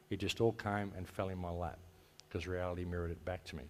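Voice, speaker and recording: The background is silent and the recording very clean. This man speaks in an Australian accent. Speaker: conference speaker, radio host and activist. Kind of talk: conference talk. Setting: stage with audience. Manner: casual, conversational.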